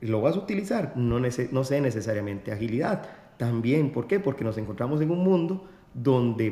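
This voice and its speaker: In a Costa Rican accent, a man talks at a moderate pace with lively intonation. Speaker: podcast host. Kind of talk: interview.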